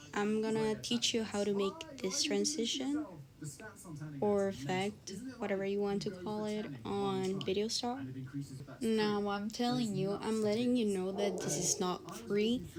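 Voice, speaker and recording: A woman with a non-native accent and medium pitch at a fairly slow pace, with audible room echo and noticeable background noise. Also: ordinary pitch variation. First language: not English. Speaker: video editing tutorial creator. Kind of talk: tutorial. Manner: casual, hesitant with many fillers.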